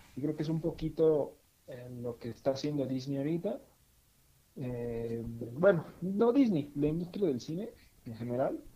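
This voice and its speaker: Somewhat breathy and dark, mellow in tone, a man speaks with lively intonation, big swings in loudness, and long, frequent pauses. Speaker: podcast co-host. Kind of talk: casual chat. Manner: halting, many fillers and repetitions.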